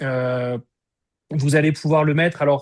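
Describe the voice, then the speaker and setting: A man speaks at a moderate pace in an unremarkable speaking voice, his intonation fairly even, against a quiet background. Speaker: energy healing teacher. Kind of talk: online workshop.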